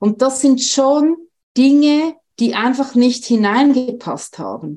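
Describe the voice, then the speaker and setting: Very slowly, a woman speaks in a dark, mellow tone with lively intonation. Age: 50s. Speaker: nurse and author. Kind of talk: personal testimony interview.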